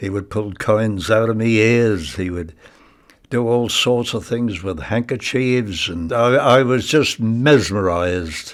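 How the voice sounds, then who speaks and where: Delivery is very slow, with ordinary pitch variation. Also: man, medium pitch for a man. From England, Ipswich (Suffolk). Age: 90s. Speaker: retired magician and war veteran. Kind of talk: personal reminiscence. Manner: halting.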